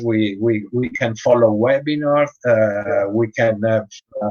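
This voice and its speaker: A man speaks very slowly with an Italian accent. His pitch varies in an ordinary way. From Italy. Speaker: dog breeder and show judge. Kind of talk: interview. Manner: halting, many hesitations.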